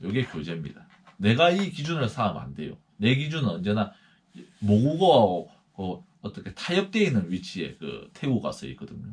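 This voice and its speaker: A man talks at a moderate pace and medium pitch, with vocal fry. His pitch swings very widely, and his loudness shifts in big swings. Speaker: missionary. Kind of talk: lecture.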